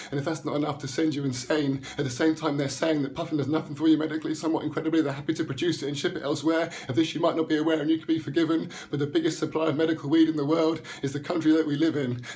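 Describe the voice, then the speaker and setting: A man with a fairly high pitch speaks in a passionate tone at a very fast pace, with hardly any pauses. His intonation stays monotone and flat over noticeable background noise. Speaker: spoken word poet. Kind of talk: spoken word poetry performance, rhymed rant. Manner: fast, rhythmic, passionate delivery with some stumbling.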